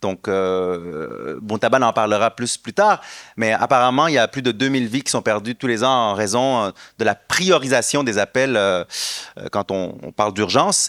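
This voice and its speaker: A man with a Quebec accent at a medium pitch, fairly slow pace and ordinary pitch variation, in a dry, close sound with no echo and a very clean recording with a silent background. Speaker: education nonprofit founder. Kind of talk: conference presentation. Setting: stage with audience. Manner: hesitant, many fillers.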